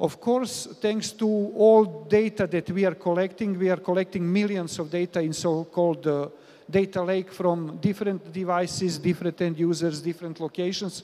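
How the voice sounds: A man with a high pitch and a dark, mellow tone talks at a moderate pace with fairly even intonation and few pauses.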